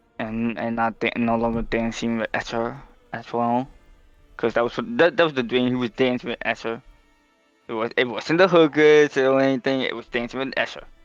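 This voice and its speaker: Over music in the background, a man speaks at medium pitch with fairly even intonation. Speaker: tabletop game player. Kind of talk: role-play game narration. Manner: fast; halting.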